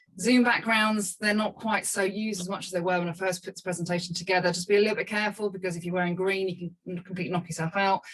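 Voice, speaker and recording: Over noticeable background noise, a woman of medium pitch talks very fast in a monotone, flat intonation with hardly any pauses. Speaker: video marketing coach. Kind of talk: webinar presentation. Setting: video call. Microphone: small cheap microphone.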